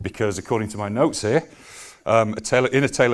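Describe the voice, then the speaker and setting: Speaking at a very fast pace with ordinary pitch variation, a man with a Yorkshire accent comes through on a very clean recording with a silent background. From Yorkshire, Leeds. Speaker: business executive. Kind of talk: conference presentation. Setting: stage with audience. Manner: hesitant, many fillers.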